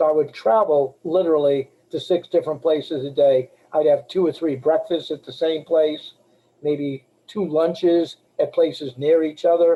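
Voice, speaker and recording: Using an ordinary speaking voice with an American accent, a man talks at a moderate pace and fairly high pitch with fairly even intonation. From Boston area, Massachusetts. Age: 60s. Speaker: life insurance agent. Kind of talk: webinar talk. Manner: casual, conversational.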